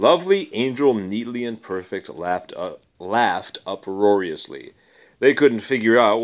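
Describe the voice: The clip is plain reading aloud. Nothing else marks the delivery.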